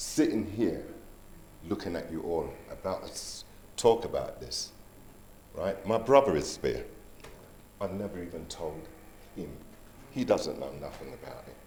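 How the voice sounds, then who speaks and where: A man speaks at a fairly slow pace with long, frequent pauses and big swings in loudness. Audible room echo surrounds his voice. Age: 60s. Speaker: guest sharing his health experience. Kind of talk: personal testimony. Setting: resort venue with live audience. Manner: animated storytelling.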